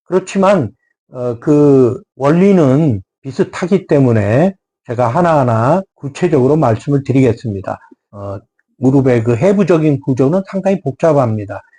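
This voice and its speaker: A man with a fairly high pitch and a dark, mellow tone speaks at a fairly slow pace with lively intonation. His somewhat breathy voice has a dry, close sound with no echo. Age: 70s. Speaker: doctor of Korean medicine. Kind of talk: health talk. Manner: formal; hesitant with fillers.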